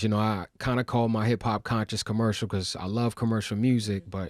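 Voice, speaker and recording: In a dry, close sound with no echo, a man with an American accent and an ordinary speaking voice talks at medium pitch and a fairly quick pace. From Baltimore, US. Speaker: hip hop artist. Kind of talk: interview. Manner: casual, conversational.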